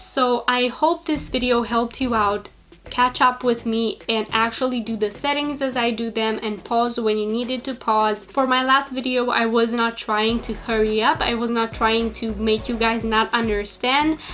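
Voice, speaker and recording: Against noticeable background noise, a woman with a fairly high pitch talks with fairly even intonation and hardly any pauses. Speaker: social media business youtuber. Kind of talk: tutorial. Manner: fast talker.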